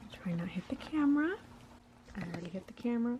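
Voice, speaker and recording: A soft-spoken voice over noticeable background noise. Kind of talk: ASMR soft-spoken book flip-through. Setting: home recording without microphone.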